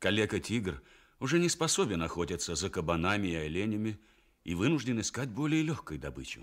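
A fairly low-pitched man with very wide pitch swings and vocal fry, against a quiet background. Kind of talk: radio play narration, fairy tale for children. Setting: radio broadcast, studio recording. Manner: warm, storytelling, expressive. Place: studio.

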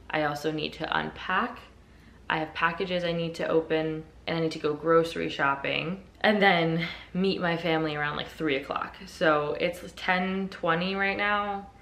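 This woman speaks at a moderate pace in a fairly low voice with fairly even intonation. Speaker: lifestyle vlogger. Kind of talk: casual vlog narration. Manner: chatty, uses many fillers. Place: home room. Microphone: phone near.

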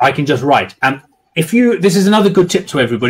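A natural reading voice rises and falls with lively intonation while the background stays quiet.

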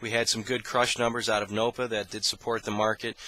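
The sound is dry, with no echo. The intonation is monotone and flat. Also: man. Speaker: commodity market analyst. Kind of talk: market commentary. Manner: frequent filler words (uh, um). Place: office. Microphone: headset.

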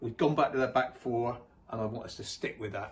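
A man speaks at a fairly quick pace as music plays in the background. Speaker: guest. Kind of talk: casual chat. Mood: upbeat, hopeful. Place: home room. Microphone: phone near.

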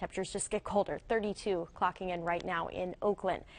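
An upbeat tone at a fairly quick pace, with ordinary pitch variation. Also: woman. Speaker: TV meteorologist. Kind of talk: local TV weather forecast, talking viewers through radar and temperature maps. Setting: TV studio. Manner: brisk, upbeat conversational delivery with occasional filler; engaging, guides viewers point by point across the map. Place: studio. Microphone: lapel.

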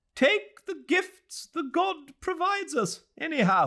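A put-on character voice sits at an extremely high pitch and sounds shrill. It moves at a fairly slow pace. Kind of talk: literary reading aloud. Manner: scornful, imperious. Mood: calm, warm storytelling.

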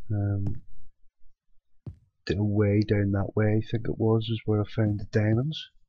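Quiet and somewhat breathy, a man talks at a fairly low pitch in a monotone, flat intonation, at a fairly slow pace with long, frequent pauses over light background noise. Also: dry sound with no echo. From UK. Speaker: gaming youtuber; gamer. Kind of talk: let's play commentary; casual gameplay commentary. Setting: at home at night. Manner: casual. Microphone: cheap headset, mediocre quality; headset.

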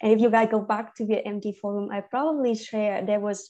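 With a Vietnamese accent, a woman speaks at a medium pitch in a dark, mellow tone, using ordinary pitch variation against a quiet background. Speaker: medical English teacher. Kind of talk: online class. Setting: video call. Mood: friendly, informal. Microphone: video call.

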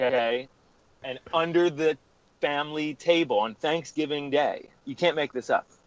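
At a fairly high pitch, a man talks at a moderate pace with ordinary pitch variation. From Philadelphia area, US. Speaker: rock guitarist. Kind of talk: casual interview.

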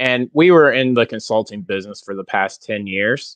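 At a moderate pace, a man talks with ordinary pitch variation in a dry sound with no echo over a quiet background. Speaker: guest. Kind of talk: interview answer. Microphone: earbuds.

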